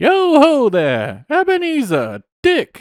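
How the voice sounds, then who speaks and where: A man uses a put-on character voice with an extremely high pitch. He talks at a very slow pace. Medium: read story. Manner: jovial, hearty.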